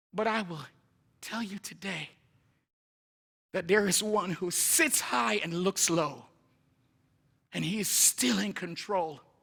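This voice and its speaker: Speaking at a very slow pace with long, frequent pauses, a man with a slight Jamaican accent uses a high pitch, lively intonation and a bright, sharp tone. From Jamaica, Kingston. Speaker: missionary preacher. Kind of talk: sermon. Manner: animated.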